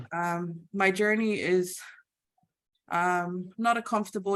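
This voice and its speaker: A woman talks fairly slowly at a medium pitch. Her intonation stays fairly even. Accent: Samoan. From Samoa. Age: 30s. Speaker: IT team leader and church youth leader. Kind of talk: presentation. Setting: video call. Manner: halting.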